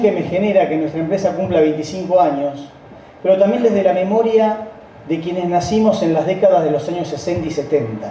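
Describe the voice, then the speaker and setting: A man with a high pitch talks at a very fast pace, with ordinary pitch variation. Audible room echo and noticeable background noise surround his voice. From Argentina, Rosario. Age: 60s. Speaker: company founding partner. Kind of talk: speech.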